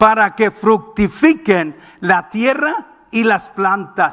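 A man talks in a raised, projected voice with high pitch. His pitch varies in an ordinary way against a quiet background. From Mexicali, northern Mexico; Mexico. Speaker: preacher. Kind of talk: sermon. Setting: church. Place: church. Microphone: headset.

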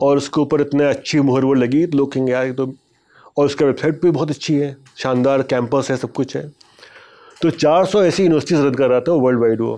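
The voice has a dark, mellow tone, very even loudness and fairly even intonation, moving at a moderate pace. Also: man, fairly high pitch for a man. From India, Lucknow; India. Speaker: journalist and author; journalist. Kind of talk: interview storytelling. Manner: conversational. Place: studio. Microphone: lapel.

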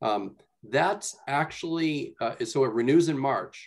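A man speaks at a fairly slow pace, with a quiet background behind him. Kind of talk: meeting report. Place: home room. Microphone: video call.

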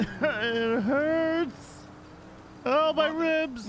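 The speaker uses a put-on character voice. Clear background noise is heard behind it. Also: man, extremely high pitch for a man. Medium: game stream. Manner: whimpering, pleading.

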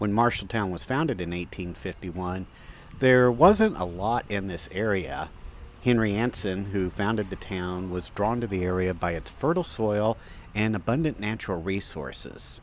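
With a dry sound and no echo over light background noise, a man talks in a normal speaking voice at a moderate pace with ordinary pitch variation. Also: fairly low pitch for a man. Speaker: walking tour host. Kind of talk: travel commentary. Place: street.

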